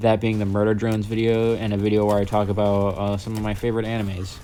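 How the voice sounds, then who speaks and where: With a dark, mellow tone and fairly low pitch, a man speaks at a moderate pace. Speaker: gaming YouTuber. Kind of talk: vlog vent. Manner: monotone; halting.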